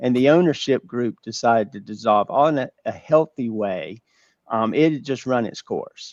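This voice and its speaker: A man talks with a Southern US accent. His pitch is medium. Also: ordinary pitch variation, moderate pace. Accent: North Carolina, Georgia Southern. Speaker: business owner, former accountant. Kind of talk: webinar interview.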